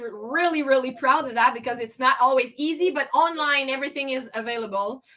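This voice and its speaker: Speaking with a French accent, a woman projects a raised, high-pitched voice with ordinary pitch variation. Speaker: tea business owner. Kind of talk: casual interview.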